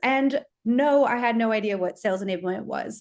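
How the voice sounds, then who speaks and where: A woman with an American accent talks at a fairly quick pace in a normal speaking voice, her pitch fairly high and her pitch variation ordinary, against a quiet background. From USA. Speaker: sales enablement professional. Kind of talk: webinar fireside chat.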